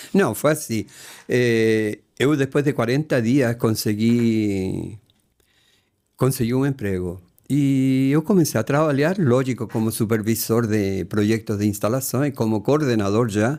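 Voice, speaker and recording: On a very clean recording with a silent background, a man speaks with a Spanish accent at a fairly slow pace. His medium-pitched voice has a dark, mellow tone, ordinary pitch variation and very even loudness. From Chile. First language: Spanish (speaking Portuguese). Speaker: retired engineer, host's father. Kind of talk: casual family interview.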